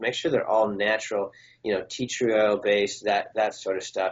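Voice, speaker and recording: A man speaks at a fairly quick pace. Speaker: pediatric chiropractor. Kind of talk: interview. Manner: fast; casual.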